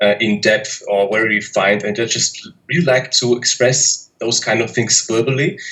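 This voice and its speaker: A man's medium-pitched voice in a German accent, moderate in pace with hardly any pauses and ordinary pitch variation. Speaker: polyglot YouTuber. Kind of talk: interview. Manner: hesitant, many fillers.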